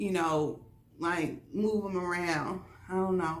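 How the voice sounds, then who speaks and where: In a space with audible room echo, a woman talks at a fairly slow pace, her fairly low pitch set in fairly even intonation. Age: middle-aged. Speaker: vlogger. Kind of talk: casual vlog talk.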